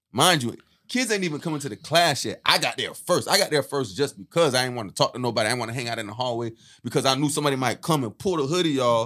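A man's medium-pitched voice with a bright, sharp tone and lively intonation at a very fast pace, on a very clean recording with a silent background. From South Florida, US. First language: Haitian Creole. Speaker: podcast co-host. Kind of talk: casual chat, comedic banter.

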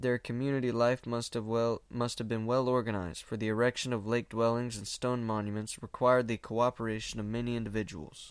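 Against a silent background in a very clean recording, a man speaks at a medium pitch and a fairly quick pace in a normal speaking voice, his intonation fairly even. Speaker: podcast host reading old book. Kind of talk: casual podcast intro/outro, then literary audiobook-style reading of an old history text. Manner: casual, filler-heavy, self-deprecating, chatty in own talk; steady, measured, formal reading pace with occasional stumbles over hard words.

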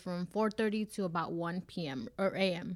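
A woman with a normal speaking voice talks at a medium pitch with ordinary pitch variation in a very clean recording with a silent background. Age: 20s. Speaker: HR worker and podcast co-host. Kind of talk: casual chat.

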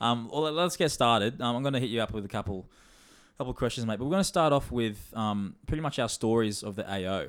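Over a silent background in a very clean recording, a man with an Australian accent speaks at a very fast pace, his medium-pitched voice carrying lively intonation. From Australia, Sunshine Coast. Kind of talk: casual chat. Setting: studio.

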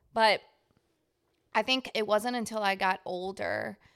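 A woman with a Louisiana accent speaks at a very slow pace and medium pitch on a very clean recording with a silent background. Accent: Southern US, Louisiana. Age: 20s. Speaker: podcast co-host. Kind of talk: casual chat between two friends. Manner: animated, jokey.

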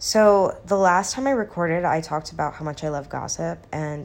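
A woman talks at an even, middling speed, her pitch varying in a normal way. The audio is spotless, with total silence behind her. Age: 20s. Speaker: podcaster. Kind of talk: casual solo chat.

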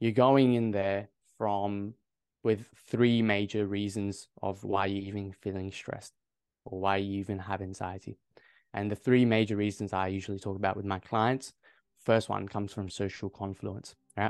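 A man speaks with an Australian accent at a fairly low pitch. His pace is moderate, and the background is quiet. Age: 20s. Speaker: medical student and confidence coach. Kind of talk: casual interview. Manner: animated.

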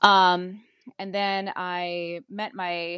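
A woman speaks at a medium pitch over a quiet background. The sound is dry and close, with no echo. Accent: Hawaiian. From Hawaii, Oahu. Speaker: medical assistant. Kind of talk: casual interview chat.

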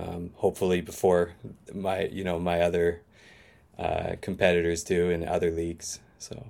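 A man talks at a very deep, low pitch. His intonation is monotone and flat. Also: moderate pace. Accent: Canadian Maritime. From Eastern Canada, Maritimes. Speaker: English teacher, fantasy football manager. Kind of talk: casual interview chat. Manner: halting, many fillers.

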